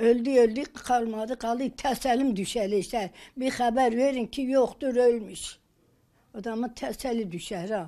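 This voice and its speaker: A woman talks very slowly in a dark, mellow tone, with ordinary pitch variation against a quiet background. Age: 80s+. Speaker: elderly village woman awaiting her missing husband. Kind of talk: interview answer. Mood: sorrowful, pleading. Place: home room.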